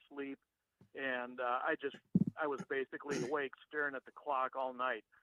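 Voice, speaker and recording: Moderately paced, this man's speech sits at a fairly high pitch. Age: 60s. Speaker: caller. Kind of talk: call-in question. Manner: halting, with many fillers.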